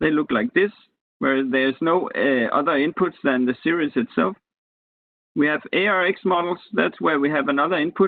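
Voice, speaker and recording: A normal speaking voice: a man with a fairly high pitch, lively intonation, very even loudness and a moderate pace. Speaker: university lecturer. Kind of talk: lecture. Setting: video call.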